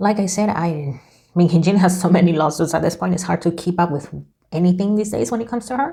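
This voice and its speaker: A somewhat breathy woman's voice with a non-native accent, dark and mellow in tone, fairly low in pitch with ordinary variation, on a very clean recording with a silent background. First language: not English. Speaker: tarot reader YouTuber. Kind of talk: casual tarot reading monologue. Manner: casual, hesitant with self-corrections.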